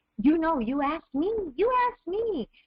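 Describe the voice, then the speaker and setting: An animated woman talks with very wide pitch swings. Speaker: network marketing distributor. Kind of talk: webinar presentation. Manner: fast.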